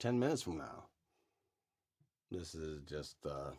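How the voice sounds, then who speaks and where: This man's very deep, low voice carries a noticeable vocal fry. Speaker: religious vlogger. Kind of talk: casual monologue. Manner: halting.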